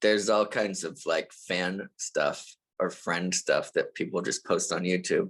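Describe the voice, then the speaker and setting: The background stays quiet. A man's speech comes at a very slow pace. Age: 40s. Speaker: rock musician. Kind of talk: casual chat.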